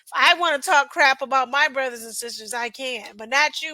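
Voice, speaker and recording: A woman projects a raised voice at a high pitch. She has an American accent. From United States. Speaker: reaction video host. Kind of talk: casual reaction commentary. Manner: hesitant, with fillers.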